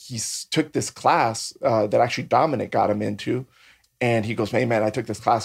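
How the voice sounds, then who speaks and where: The recording is very clean, with a silent background. A man speaks in an unremarkable speaking voice at a fairly quick pace. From San Diego, California (born in Mexico, moved at about six). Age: 40s. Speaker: MMA and bare knuckle fighter, artist, drag performer. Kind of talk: casual chat.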